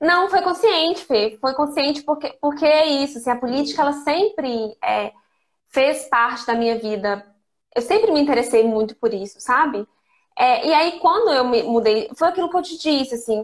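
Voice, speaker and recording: Her pitch is high, and her intonation is lively. This woman keeps a moderate pace. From Brazil, interior of Minas Gerais. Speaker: fashion consultant. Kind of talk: casual interview.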